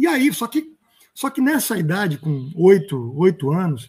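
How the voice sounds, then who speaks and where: The man's voice sits at a high pitch. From Rio de Janeiro, Brazil. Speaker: stage actor. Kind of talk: interview answer.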